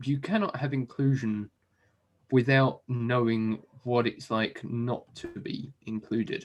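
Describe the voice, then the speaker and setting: This is a man speaking with an English accent. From southern England. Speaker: software developer, business owner. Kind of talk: interview. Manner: hesitant, many fillers.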